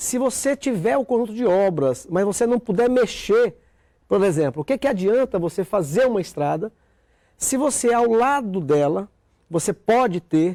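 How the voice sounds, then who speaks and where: A man with a high pitch and a dark, mellow tone speaks at a moderate pace with lively intonation and very even loudness, the sound dry and close with no echo. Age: 50s. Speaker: senator. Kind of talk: TV interview. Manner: halting, with many fillers.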